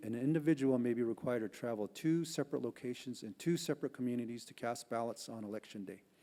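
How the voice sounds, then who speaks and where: A man with a Southwestern US accent talks at a very fast pace in a medium-pitched voice with a dark, mellow tone. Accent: Navajo-accented English. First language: Navajo. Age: old. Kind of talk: prepared testimony at congressional hearing. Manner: formal.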